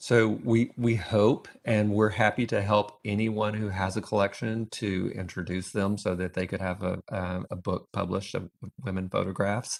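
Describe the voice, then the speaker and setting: A man with a Texas accent speaks at a moderate pace in a fairly low pitch, his intonation flat and monotone, with hardly any pauses. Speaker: photo collector and book author. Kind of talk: panel talk at museum event. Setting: museum event with live and online audience. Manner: hesitant, with fillers.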